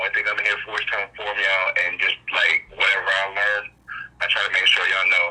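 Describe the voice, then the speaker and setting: A man rattles off his words at a very fast pace while noticeable noise hums behind him. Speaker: eyewitness recounting encounters. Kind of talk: testimony. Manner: halting.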